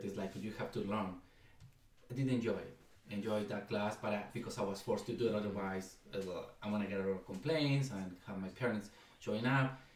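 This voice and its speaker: The speaker talks at a fairly quick pace with a Spanish accent. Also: man. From Mexico, Ciudad Guzmán. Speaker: education nonprofit co-founder. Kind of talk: casual interview.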